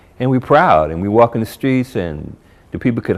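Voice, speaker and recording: Intonation here is lively. It comes with an American accent. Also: man. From New Jersey, US. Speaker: convert sharing faith story. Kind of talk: testimony interview. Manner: casual, hesitant with fillers.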